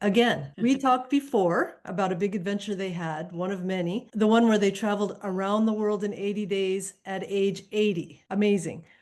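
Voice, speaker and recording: A woman talks at a moderate pace with hardly any pauses. It is a plain, everyday voice of medium pitch with ordinary pitch variation. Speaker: interview host. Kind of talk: podcast interview host.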